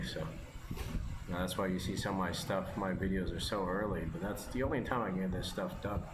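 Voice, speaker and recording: Very fast speech from a man with a very deep, low voice, in a room with audible echo. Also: very even loudness. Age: 30s. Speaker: mobile game streamer. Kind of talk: casual gameplay commentary. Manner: rambling, hesitant with fillers.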